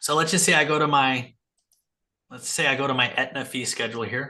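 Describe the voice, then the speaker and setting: At a fairly quick pace, a man talks in a medium pitch with a bright, sharp tone over a quiet background. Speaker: psychiatric nurse practitioner and practice coach. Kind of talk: live group coaching call. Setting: video call with screen share. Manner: fast.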